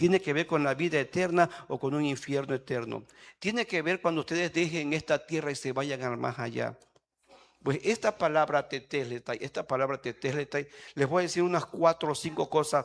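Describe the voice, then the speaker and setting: A normal speaking voice moves at a moderate pace. Its pitch shows ordinary variation. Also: man, fairly high pitch for a man. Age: 60s. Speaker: pastor. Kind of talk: sermon. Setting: church.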